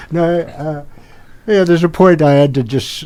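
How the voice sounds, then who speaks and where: Speaking at a moderate pace, a man has a dark, mellow tone. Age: 70s. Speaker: retired shepherd and vegetation manager. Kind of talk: casual interview storytelling. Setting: campus radio studio. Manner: halting, with many fillers.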